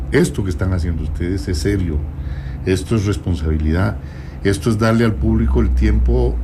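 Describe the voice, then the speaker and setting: Over noticeable background noise and audible room echo, a man talks with very wide pitch swings. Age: 70s. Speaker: presidential candidate. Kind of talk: radio interview. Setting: radio studio.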